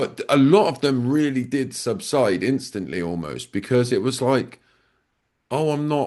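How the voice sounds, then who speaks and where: A man with a plain, everyday voice, medium pitch, lively intonation and a fairly slow pace against a quiet background. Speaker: podcast host. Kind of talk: casual conversation.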